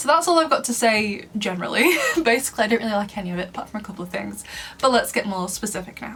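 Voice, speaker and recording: A woman talks at a very fast pace in a fairly high voice. Noticeable background noise can be heard. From northern England, Lancashire. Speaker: book and film reviewer, content creator. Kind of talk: casual video commentary.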